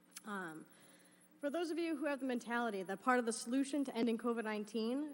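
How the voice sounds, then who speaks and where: A woman's voice with ordinary pitch variation. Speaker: community member speaking at public comment. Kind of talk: public comment at school committee meeting. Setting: public meeting. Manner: mumbles; halting, loses place.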